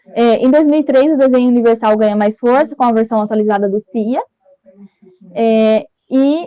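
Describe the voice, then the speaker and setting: A woman's voice sits at a fairly high pitch, with a dark, mellow tone. The pitch variation is ordinary, and the sound is dry and close with no echo. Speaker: master's degree candidate. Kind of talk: academic thesis presentation. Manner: fast; hesitant, many fillers. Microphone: connection stuttering for one listener.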